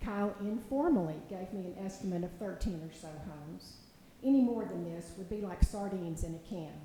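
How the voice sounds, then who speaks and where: A woman at medium pitch, fairly quick, with ordinary pitch variation and big swings in loudness, plus audible room echo and noticeable background noise. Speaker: public commenter. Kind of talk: public comment at city meeting. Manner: formal.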